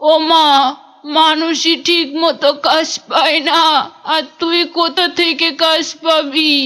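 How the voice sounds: A woman uses a cartoonish character voice at an extremely high pitch. Her delivery is fairly slow, with monotone, flat intonation.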